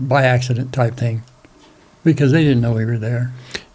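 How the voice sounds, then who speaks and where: A man's dark, mellow voice at a medium pitch, somewhat breathy, with an American accent. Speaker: war veteran. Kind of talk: interview, recounting memories. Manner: halting.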